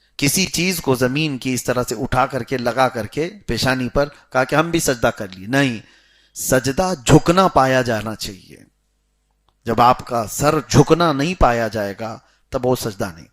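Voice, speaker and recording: A man with a medium pitch has a plain, everyday voice that swings widely in loudness. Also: ordinary pitch variation. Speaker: Islamic scholar giving a sermon. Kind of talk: Islamic lecture explaining Quran commentary and prayer rulings.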